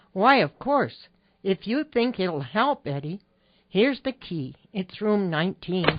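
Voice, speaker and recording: A woman puts on a character voice at a medium pitch, speaking fairly slowly with very wide pitch swings. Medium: audio drama. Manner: proper, prim exclamations.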